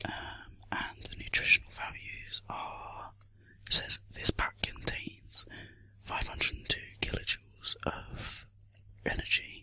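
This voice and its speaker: Someone whispers at a very slow pace, loudness swinging widely over noticeable background noise. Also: man. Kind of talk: ASMR video, casual talk to camera. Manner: whispered, soft-spoken.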